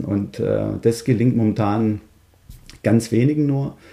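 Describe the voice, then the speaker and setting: A man's medium-pitched voice, dark and mellow in tone, with ordinary pitch variation and vocal fry. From Swabia, Stuttgart (Germany). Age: 40s. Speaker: fathers' coach and founder. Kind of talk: podcast interview.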